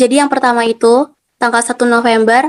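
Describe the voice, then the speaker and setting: Her fairly high voice flat and monotone, a woman talks at a fairly quick pace in a dry, close sound with no echo. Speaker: university student. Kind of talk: class presentation.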